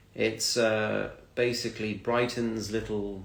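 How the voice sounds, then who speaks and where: Somewhat breathy, fairly low voice of a man with a British accent at a very slow pace, with audible room echo. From UK. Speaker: English teacher. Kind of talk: casual chat.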